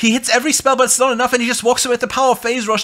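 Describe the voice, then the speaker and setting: A man projects his voice at an extremely high pitch. His tone is bright and sharp. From Germany. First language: German. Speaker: game commentator. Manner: fast talker, excitable.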